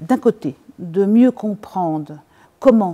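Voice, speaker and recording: On a very clean recording with a silent background, a woman with a dark, mellow tone speaks at a very slow pace. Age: 60s. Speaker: professor and researcher. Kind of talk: interview. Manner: frequent hesitations.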